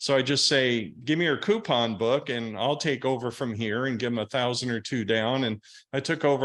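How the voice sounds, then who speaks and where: A man speaks with an American accent in a plain, everyday voice, at medium pitch with fairly even intonation. His pace is fairly quick, and the background is quiet. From US Northeast. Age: 60s. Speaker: real estate investor. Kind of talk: podcast interview.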